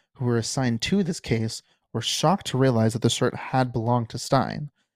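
A man talks at a moderate pace at a medium pitch, an ordinary speaking voice. The sound is dry and close with no echo, a very clean recording with a silent background. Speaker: podcast host. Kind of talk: true-crime narration, reading case facts aloud. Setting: home recording, solo podcast. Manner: steady, measured, informational delivery with occasional casual asides.

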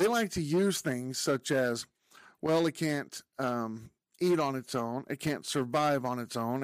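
A man with an unremarkable speaking voice talks at a fairly slow pace and medium pitch, with ordinary pitch variation, in a dry, close sound with no echo on a very clean recording with a silent background. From Texas. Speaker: podcast host. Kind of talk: opinion monologue. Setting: video podcast recording.

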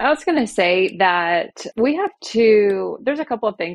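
A woman with an American accent and a normal speaking voice, fairly high in pitch, with lively intonation. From Oklahoma. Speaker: insurance agency leader. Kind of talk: casual interview.

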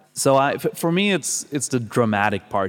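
On a very clean recording with a silent background, a man speaks very slowly with a Swedish accent. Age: 30s. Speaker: vocal coach and metal singer. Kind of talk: casual interview. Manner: halting, with many repeated words.

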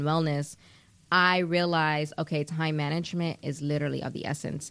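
In a very clean recording with a silent background, a woman with an American accent speaks at a moderate pace. Her pitch is very deep and low, and her intonation is flat and monotone. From US Northeast, New York City, the Bronx. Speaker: singer-songwriter and actress. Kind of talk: casual interview chat.

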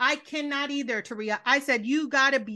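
Against a quiet background, a woman talks at a fairly quick pace in a raised, projected voice that is high, bright and sharp, with an animated tone. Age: 30s. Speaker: podcast host. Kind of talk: casual chat. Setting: remote call.

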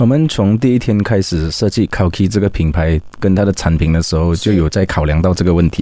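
Very deep, low-pitched man talking very fast with hardly any pauses and very even loudness, over noticeable background noise. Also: ordinary pitch variation. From Malaysia, Sarawak (Kuching). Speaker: restaurant founder, entrepreneur. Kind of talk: interview.

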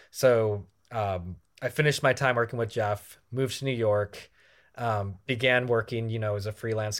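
The recording is very clean, with a silent background. A man with an American accent keeps his intonation fairly even. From US Midwest, rural Michigan. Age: 20s. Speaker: filmmaker. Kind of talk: casual chat.

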